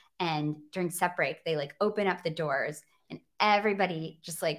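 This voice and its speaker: At a moderate pace, a woman with a fairly low voice speaks with ordinary pitch variation. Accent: American. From Michigan, outside Grand Rapids. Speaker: podcast co-host. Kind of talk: casual interview chat.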